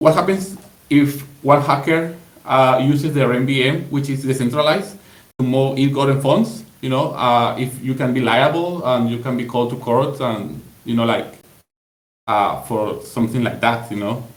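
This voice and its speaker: With a Spanish accent, a somewhat breathy speaker moves at a moderate pace with ordinary pitch variation, and room echo is audible. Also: man, medium pitch for a man. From Latin America. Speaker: community member. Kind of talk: group call discussion. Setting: voice call on Discord. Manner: halting, many fillers.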